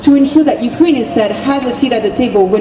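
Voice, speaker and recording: High-pitched woman with a French accent at a fairly quick pace, amid noticeable background noise and audible room echo. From France. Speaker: activist. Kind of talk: rally speech. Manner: impassioned.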